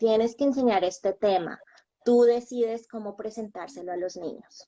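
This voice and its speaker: This woman has a fairly high pitch and ordinary pitch variation. Her pace is moderate. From Colombia. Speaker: bilingual schoolteacher. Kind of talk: interview.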